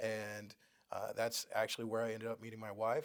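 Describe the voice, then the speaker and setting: Talking at a fairly quick pace, a man with a Texan accent uses a medium pitch. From Texas (San Antonio area). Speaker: real estate agent, Air Force veteran. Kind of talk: casual interview. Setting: studio. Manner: hesitant, many fillers.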